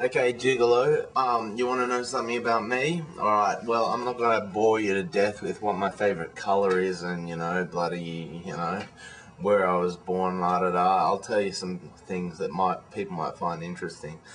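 A fairly low male voice at a moderate pace with ordinary pitch variation, hardly any pauses, and light background noise. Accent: Australian. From Australia (childhood partly in Malaysia). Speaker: vlogger. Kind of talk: casual video blog monologue. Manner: hesitant, many fillers. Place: home room. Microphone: webcam.

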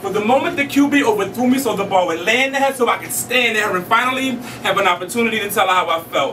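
A man's raised, projected voice with an American accent, high in pitch with ordinary variation, at a very fast pace with hardly any pauses, over noticeable background noise. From Philadelphia. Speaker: spoken word poet. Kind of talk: spoken word poetry performance. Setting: live venue. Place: stage.

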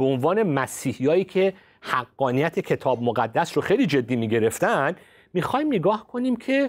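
Over a quiet background, a man's voice swings very widely in pitch. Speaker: pastor and science-faith commentator; pastor, science-faith commentator. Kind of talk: religious discussion show. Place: studio. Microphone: lapel.

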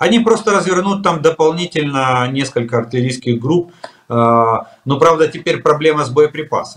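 The background stays quiet. Intonation is lively, and the pace is moderate. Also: man, fairly high pitch for a man. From Ukraine. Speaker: military expert, retired colonel; guest. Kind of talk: interview. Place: home room. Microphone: video call.

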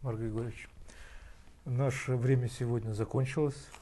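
Somewhat breathy and dark, mellow in tone, a man talks with monotone, flat intonation. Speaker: TV host. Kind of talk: interview. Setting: studio.

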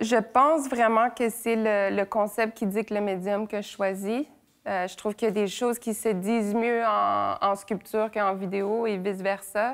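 Fairly slow and fairly high in pitch, a woman speaks here. Her intonation stays fairly even over a quiet background. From Quebec and Brittany, France; Quebec. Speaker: visual artist. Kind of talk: interview monologue. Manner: hesitant, many fillers. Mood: calm, thoughtful. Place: workshop.

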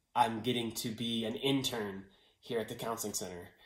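A man's monotone, flat delivery with audible room echo. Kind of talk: personal testimonial. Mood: warm, grateful. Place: home room. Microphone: phone near.

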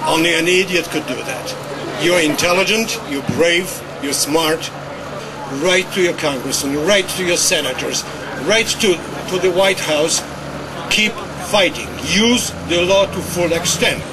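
With a European accent, a man speaks at a high pitch and a fairly slow pace in an animated tone, his pitch variation ordinary. Long, frequent pauses break up the speech, and background noise is noticeable. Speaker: ex-CIA agent, protest speaker. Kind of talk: protest speech. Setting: outdoors protest, talking to crowd. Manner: forceful, rallying; animated, emphatic.

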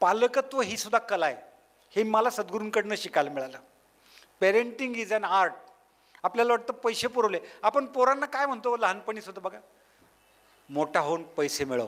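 A man's high pitch with lively intonation. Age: 60s. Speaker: motivational speaker on parenting. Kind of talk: public talk to parents.

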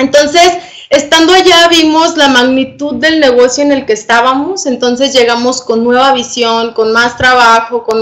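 Over a quiet background, a woman with a high pitch speaks at a moderate pace with ordinary pitch variation. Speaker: presenter. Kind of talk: online presentation testimony. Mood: enthusiastic, persuasive. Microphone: webcam.

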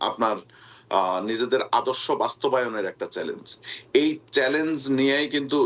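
This is a man with a medium-pitched voice. His pitch variation is ordinary. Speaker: party official. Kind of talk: news interview.

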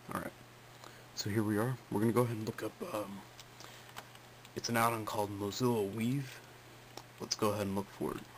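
A man with a fairly low pitch talks at a fairly quick pace, with fairly even intonation. He leaves long, frequent pauses, and there is light background noise. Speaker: computer hobbyist. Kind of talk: screen-recording tutorial talk. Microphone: phone near.

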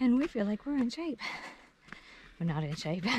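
A woman speaks at a very slow pace in a medium pitch, with big pitch swings. Her tone is slightly mellow, with a slightly husky edge.

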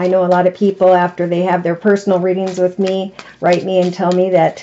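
A woman talks at a fairly quick pace in monotone, flat intonation over light background noise. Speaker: tarot reader. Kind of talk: tarot reading monologue. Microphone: phone near.

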